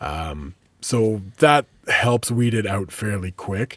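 This man's voice sits fairly low and sounds somewhat breathy. The recording is very clean against a silent background. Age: 30s. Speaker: podcast host and radio DJ. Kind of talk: casual interview chat.

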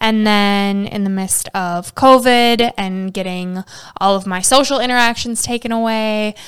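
With an ordinary speaking voice, a woman at a fairly high pitch keeps a fairly even intonation and a moderate pace. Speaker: health podcast co-host. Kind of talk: casual chat.

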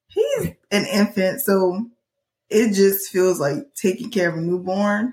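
A somewhat breathy woman's voice of medium pitch at a very slow pace, with ordinary pitch variation. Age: 20s. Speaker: podcast co-host, mother of two. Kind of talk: casual chat.

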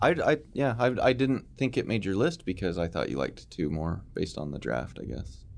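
A man talks at a fairly quick pace with a very deep, low pitch and vocal fry. His pitch swings very widely, and the background is quiet. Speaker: podcast host discussing horror movies. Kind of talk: casual chat, ranking favorite horror movies.

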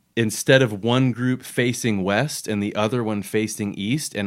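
This is a man with an American accent, fairly low pitch and ordinary pitch variation, in an ordinary speaking voice. The recording is very clean with a silent background. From Florida. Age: 40s. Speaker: podcast host. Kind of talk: casual chat.

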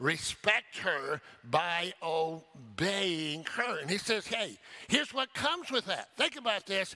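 A man's raised, projected voice, high in pitch, very slow, with lively intonation. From local to the church's town. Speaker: pastor. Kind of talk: sermon. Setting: church.

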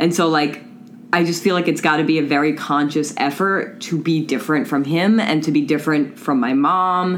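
A woman with an American accent speaks in a very deep, low voice at a moderate pace, with ordinary pitch variation. Her loudness stays very even, and audible room echo surrounds her. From Long Island, New York. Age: 30s. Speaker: counselor. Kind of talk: casual chat.

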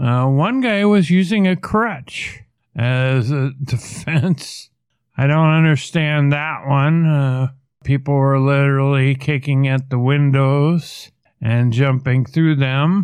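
Recorded very cleanly against a silent background, a man with an American accent speaks at a very slow pace with very even loudness. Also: fairly high pitch for a man, ordinary pitch variation. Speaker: podcast host. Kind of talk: solo political commentary. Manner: animated.

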